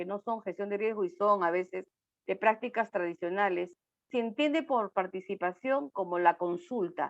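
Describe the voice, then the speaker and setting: A woman of medium pitch speaks fairly slowly, with a dry, close sound, no echo, and a quiet background. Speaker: speaker on disaster risk management. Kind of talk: online talk. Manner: animated.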